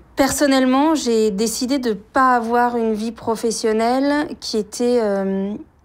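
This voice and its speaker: The pace is very slow with hardly any pauses and fairly even intonation. The recording is very clean with a silent background. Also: woman, high pitch for a woman. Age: 40s. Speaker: writer and journalist. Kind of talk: interview testimony. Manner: halting, many hesitations.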